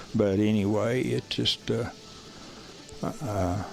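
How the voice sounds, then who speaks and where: Over music in the background, a voice with a rural Southern US accent speaks at a very slow pace, with very even loudness and fairly even intonation. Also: man. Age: 70s. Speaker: coonhound breeder and farmer. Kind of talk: casual interview.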